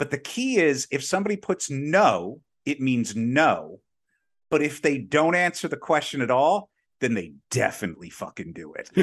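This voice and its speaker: A man's fairly high voice with vocal fry and very wide pitch swings, at a moderate pace against a quiet background. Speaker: podcast co-host. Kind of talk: casual chat. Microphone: new professional mic on a stand.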